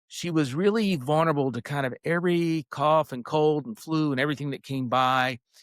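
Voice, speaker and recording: On a very clean recording with a silent background and a dry, close sound with no echo, a man with a fairly high pitch and an American accent talks at a fairly quick pace with ordinary pitch variation. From US South, North Carolina. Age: 60s. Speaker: health company founder. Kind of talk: interview. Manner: conversational, hesitant with fillers.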